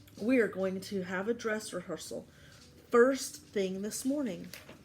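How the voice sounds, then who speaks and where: A woman does a put-on character voice that is raspy, medium in pitch and moderate in pace. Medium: read story. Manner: patient, gently firm.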